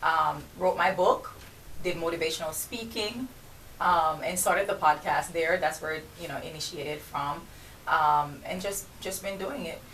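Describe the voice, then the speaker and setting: In a Jamaican accent, a woman speaks at a moderate pace with a fairly low pitch and ordinary pitch variation. Her loudness swings widely, and there is noticeable background noise. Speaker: entrepreneur and podcast host. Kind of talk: radio interview. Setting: radio studio.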